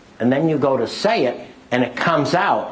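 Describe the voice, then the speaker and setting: Noticeable background noise and audible room echo surround the recording. A man speaks at a moderate pace with a fairly high pitch. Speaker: business speaker. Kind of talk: lecture. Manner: keeps going without stopping.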